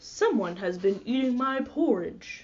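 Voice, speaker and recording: A woman does a put-on character voice, high-pitched and growling. Her pitch swings very widely at a fairly slow pace. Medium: read story.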